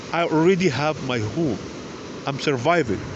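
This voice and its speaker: Noticeable background noise sits behind a man with a non-native accent who talks at a fairly slow pace, his fairly high voice showing ordinary pitch variation. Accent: foreign. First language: not English. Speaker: video blogger. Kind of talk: personal appeal to viewers. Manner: emotional, pleading.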